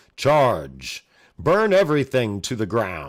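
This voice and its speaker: On a very clean recording with a silent background, a man uses a put-on character voice at a medium pitch and a fairly slow pace. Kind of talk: sophisticated. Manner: commanding, battle cry.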